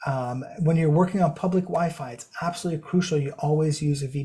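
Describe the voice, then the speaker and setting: This man talks at a very fast pace. His pitch is fairly high, with ordinary variation. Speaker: cybersecurity consultant presenting a webinar. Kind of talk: webinar presentation. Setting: online webinar.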